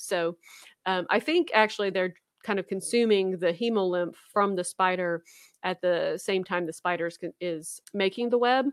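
With a Louisiana accent, a woman speaks at a fairly slow pace in a medium pitch, with a dry, close sound and no echo. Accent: Southern US (Louisiana). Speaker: podcast co-host, graduate student scientist. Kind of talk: casual chat. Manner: animated.

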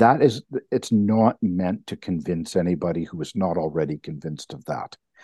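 A man's very deep, low voice in a Canadian accent, with lively intonation, big swings in loudness and a moderate pace. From Canada. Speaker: professor of religious studies. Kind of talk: casual chat.

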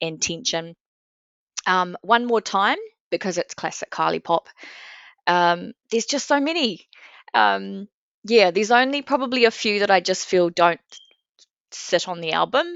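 At a moderate pace, a woman with a medium pitch speaks with lively intonation and long, frequent pauses. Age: 40s. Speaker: pop music fan. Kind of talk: casual chat. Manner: halting, many fillers.

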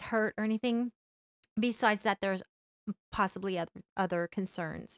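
A woman speaks at a moderate pace in an ordinary speaking voice, her pitch fairly high. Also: dry, close sound with no echo. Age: middle-aged. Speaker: podcast host, hiker. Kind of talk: casual chat.

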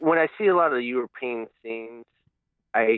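Speaking with ordinary pitch variation at a moderate pace, the voice carries an American accent. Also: man. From US Midwest. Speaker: caller. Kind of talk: casual chat. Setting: phone call. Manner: halting.

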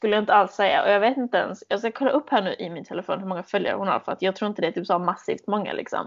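Barely pausing, a woman talks at a very fast pace. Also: medium pitch for a woman, ordinary pitch variation. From Sweden, Malmö. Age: 20s. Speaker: podcast host, au pair. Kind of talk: casual chat.

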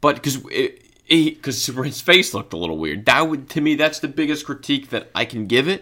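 A man's fairly high pitch with a bright, sharp tone and vocal fry, at a fairly quick pace. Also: ordinary pitch variation. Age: 20s. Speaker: podcast co-host. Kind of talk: casual chat.

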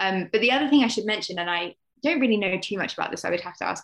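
A woman speaks with lively intonation. Vocal fry runs through her voice. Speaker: author, teacher and therapist. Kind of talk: casual chat.

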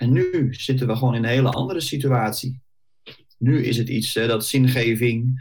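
A man talks at a moderate pace with a medium pitch and fairly even intonation. His voice is somewhat breathy. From Netherlands, Bollenstreek (South Holland). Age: 40s. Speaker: career coach. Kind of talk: podcast interview.

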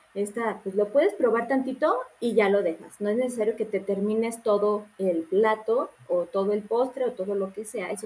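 Noticeable background noise around a woman's fairly high voice, moderately paced. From Mexico, Morelia. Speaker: nutritionist. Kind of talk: casual interview.

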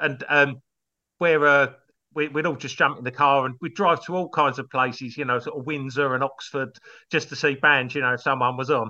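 A man with an English accent, fairly high pitch and a bright, sharp tone, at a fairly quick pace with fairly even intonation against a quiet background. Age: 50s. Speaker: comedy songwriter and musician. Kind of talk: casual chat.

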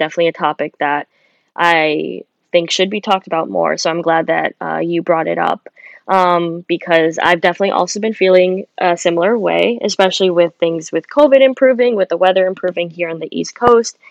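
A woman with a plain, everyday voice talks at a fairly quick pace and a fairly low pitch, with ordinary pitch variation and a dry, close sound with no echo. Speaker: podcast co-host, medical student. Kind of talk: casual chat.

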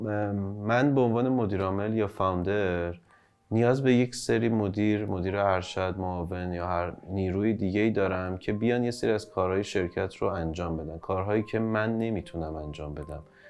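Here is a man with an ordinary speaking voice, pitched fairly low. He talks at a moderate pace with ordinary pitch variation. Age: 30s. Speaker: startup founder and CEO. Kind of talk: interview. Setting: studio.

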